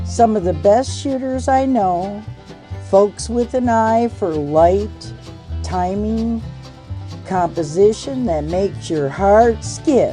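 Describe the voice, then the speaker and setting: Over music in the background, a woman speaks very slowly in a Southern US accent. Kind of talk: casual photo editing talk to camera. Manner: folksy, sassy.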